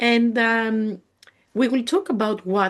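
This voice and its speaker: Speaking with a Greek accent, a woman is heard. The background is quiet. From Greece. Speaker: spiritual healer and mentor. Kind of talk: live webinar presentation. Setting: live webinar video call. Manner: halting, with frequent fillers.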